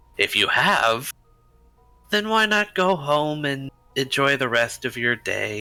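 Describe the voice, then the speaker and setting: Doing a put-on character voice, a man speaks at a fairly high pitch with long, frequent pauses. Faint music plays in the background. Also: fairly slow pace. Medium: actual play. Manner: calm, evasive.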